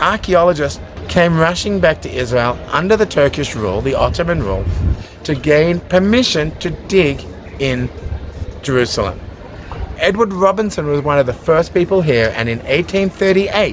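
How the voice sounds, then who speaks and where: With an Australian accent, a man speaks at a high pitch and with lively intonation. Noticeable background noise runs underneath. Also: moderate pace. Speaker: tour guide. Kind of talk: guided tour narration. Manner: enthusiastic.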